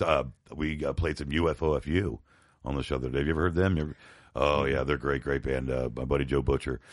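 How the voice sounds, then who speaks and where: A man with a very deep, low pitch and vocal fry talks at a very fast pace with fairly even intonation. The background is quiet. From US, New York and Florida. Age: 50s. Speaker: podcast co-host, punk musician. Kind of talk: casual chat.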